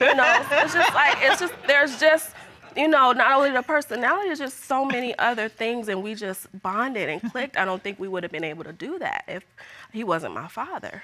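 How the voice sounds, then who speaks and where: A woman's high-pitched, raised and projected voice at a fairly quick pace, with very wide pitch swings, big swings in loudness and music in the background. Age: 30s. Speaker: plaintiff on court show. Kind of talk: courtroom testimony. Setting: TV courtroom with audience.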